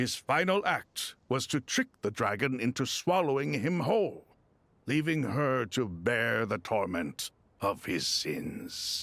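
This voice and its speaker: On a very clean recording with a silent background, a man performs a put-on character voice in a solemn tone, medium-pitched and fairly slow. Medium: video game. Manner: solemn, measured.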